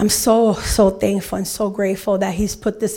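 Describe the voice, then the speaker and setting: Monotone, flat intonation from a woman with an American accent, on a very clean recording with a silent background. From Chicago. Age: 50s. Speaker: ministry program graduate. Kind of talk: testimony.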